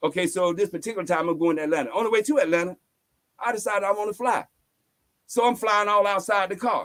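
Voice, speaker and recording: Talking at a very fast pace, a man with high pitch and ordinary pitch variation has an animated tone. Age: 70s. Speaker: spiritual teacher. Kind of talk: interview storytelling.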